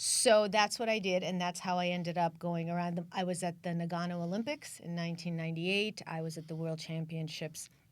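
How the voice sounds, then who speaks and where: A fairly low-pitched woman at a fairly quick pace, with hardly any pauses and fairly even intonation. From US, emigrated from the Soviet Union at age seven. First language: Russian. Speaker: author and former figure skating TV producer. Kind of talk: talk show interview.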